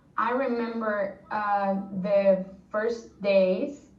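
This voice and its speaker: A somewhat breathy woman with a Spanish accent, medium in pitch, very slow in pace, with fairly even intonation. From Spain. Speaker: former exchange student. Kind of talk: interview answer. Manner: casual, chatty.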